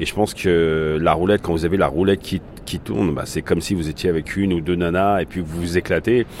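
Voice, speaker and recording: A man whose pitch is very deep and low talks at a fairly quick pace amid noticeable background noise. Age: 50s. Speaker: start-up founder and gambler. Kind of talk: testimony.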